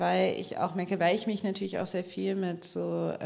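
A woman talks at a fairly low pitch with vocal fry. Audible room echo is present. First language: bilingual German and American English (speaking German). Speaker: author and journalist. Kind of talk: panel discussion. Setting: stage with audience.

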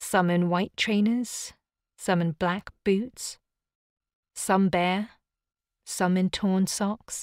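In a very clean recording with a silent background and a dry, close sound with no echo, a woman at a medium pitch speaks at a very slow pace in a monotone, flat intonation. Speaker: audiobook narrator. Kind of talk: scripted first-person horror narration, read aloud as an audiobook.

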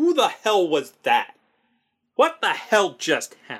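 In a put-on character voice, a man speaks at an extremely high pitch with very wide pitch swings and a fairly slow pace. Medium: actual play. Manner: anxious, blunt, exasperated.

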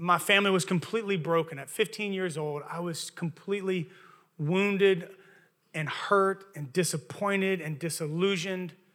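A man speaks in a high pitch with fairly even intonation and big swings in loudness. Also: moderate pace. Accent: Southern. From Louisiana. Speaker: pastor. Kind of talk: sermon. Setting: church.

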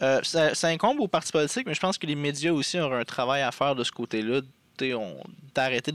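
A man with ordinary pitch variation, dry, close sound with no echo, very clean recording with a silent background. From Quebec, Abitibi. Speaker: political party member. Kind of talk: interview. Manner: halting.

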